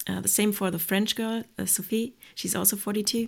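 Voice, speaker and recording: In a very clean recording with a silent background, a woman with an ordinary speaking voice talks at a fairly quick pace, her medium pitch following fairly even intonation. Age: 30s. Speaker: reserve astronaut and biotechnologist. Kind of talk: podcast interview.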